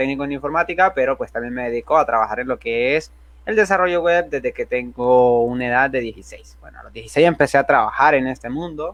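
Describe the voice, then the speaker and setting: The man's pitch sits fairly high, with ordinary variation in it. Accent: Honduran. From Honduras. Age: 20s. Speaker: software developer and youtuber. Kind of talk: tutorial. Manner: casual, with filler words.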